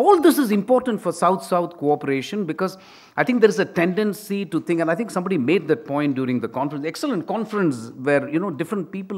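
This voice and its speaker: This man talks at a very fast pace in a high voice. His intonation is lively. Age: 60s. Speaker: retired diplomat and teacher. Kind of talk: conference speech. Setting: conference session with audience.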